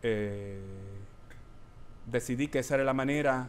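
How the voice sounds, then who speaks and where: A man's voice sits at a medium pitch, his intonation fairly even as he talks at a very slow pace. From Puerto Rico. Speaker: performance artist and educator. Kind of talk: performative lecture with Q&A. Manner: hesitant, many fillers.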